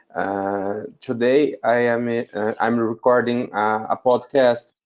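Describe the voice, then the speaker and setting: This man speaks with a Portuguese accent. His intonation stays fairly even. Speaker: wedding officiant. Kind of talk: group video call discussion. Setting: video call webinar. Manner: halting, many fillers.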